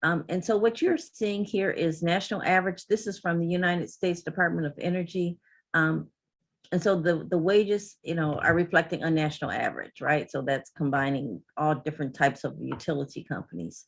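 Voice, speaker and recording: A woman talks at a fairly quick pace in a fairly low voice. There is vocal fry throughout. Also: ordinary pitch variation, quiet background. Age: 60s. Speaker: energy utility industry representative. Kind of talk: presentation.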